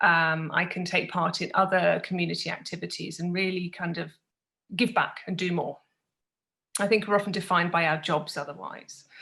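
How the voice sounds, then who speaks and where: In a British accent, a woman speaks at a moderate pace with fairly low pitch, fairly even intonation and a bright, sharp tone. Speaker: business consultant. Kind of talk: podcast interview.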